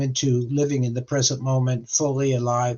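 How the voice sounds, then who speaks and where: A man talks at a moderate pace with a fairly high pitch. His voice is somewhat breathy. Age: 80s+. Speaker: life coach for men. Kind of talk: casual chat.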